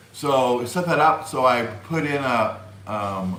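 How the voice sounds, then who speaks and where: A man speaks with lively intonation in audible room echo. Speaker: YouTube live streamer. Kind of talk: live stream chat. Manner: halting, many fillers.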